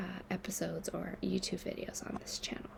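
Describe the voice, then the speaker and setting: A somewhat breathy woman at a moderate pace. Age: 30s. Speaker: writer and mental health activist. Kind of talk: reading aloud; casual chat.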